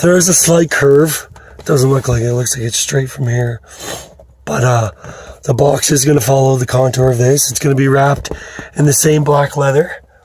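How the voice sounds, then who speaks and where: Noticeable background noise sits under this recording. The man's voice is fairly high, and he keeps a moderate pace. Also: fairly even intonation. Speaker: car audio DIY hobbyist. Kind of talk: tutorial. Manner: casual, informal.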